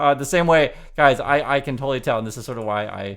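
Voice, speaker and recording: Very fast talk from a man, fairly high-pitched with lively intonation, on a very clean recording with a silent background. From Vietnam. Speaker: news commentator YouTuber. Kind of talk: casual commentary vlog. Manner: halting, many repetitions.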